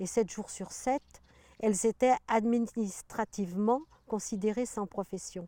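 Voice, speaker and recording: Recorded dry and close with no echo, a woman with a fairly high pitch and a dark, mellow tone speaks very slowly, her intonation fairly even. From Paris region, France. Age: 70s. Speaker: retired farmer. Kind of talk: interview. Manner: halting, many hesitations.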